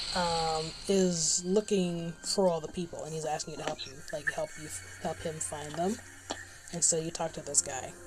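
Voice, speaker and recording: A woman mumbles at a moderate pace in a fairly low pitch, her intonation fairly even. Noticeable background noise is present. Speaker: gaming streamer. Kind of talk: casual live stream chat. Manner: soft-spoken, quieter than others; mumbling. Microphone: low mic level, quieter than others.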